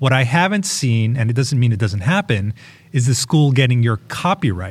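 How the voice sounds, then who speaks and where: Somewhat breathy and medium in pitch, a man talks at a fairly quick pace with lively intonation. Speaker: podcast host. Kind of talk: casual chat about news.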